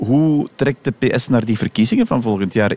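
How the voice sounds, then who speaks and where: In a dry, close recording with no echo, a man speaks at a moderate pace in a dark, mellow tone. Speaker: radio host. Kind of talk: radio interview.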